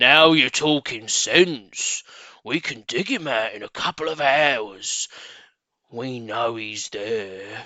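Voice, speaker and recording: A man puts on a raspy character voice at a medium pitch. He delivers it at a very slow pace. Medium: read story. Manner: gruff.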